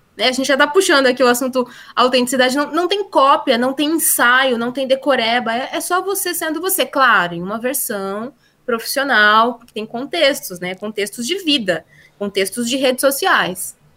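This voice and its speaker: A raised, projected voice with a bright, sharp tone, lively intonation and a moderate pace. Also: woman, high pitch for a woman. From Brazil, interior (countryside). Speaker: LinkedIn consultant and teacher. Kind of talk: interview.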